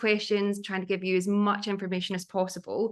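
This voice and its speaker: A woman with a Glaswegian accent speaks at a fairly quick pace and medium pitch. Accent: Glaswegian Scottish. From Scotland, Glasgow area. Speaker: art historian and curator. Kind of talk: online talk.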